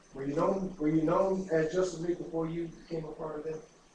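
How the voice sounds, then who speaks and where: With audible room echo, a fairly high-pitched man talks in monotone, flat intonation. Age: 60s. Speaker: talk show host. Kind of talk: interview. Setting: studio.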